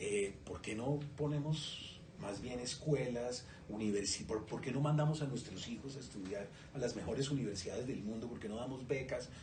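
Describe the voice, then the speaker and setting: A man with a medium pitch and ordinary pitch variation speaks at a moderate pace, with audible room echo and noticeable background noise around him. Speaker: writer, interviewer. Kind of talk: interview. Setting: bookstore event.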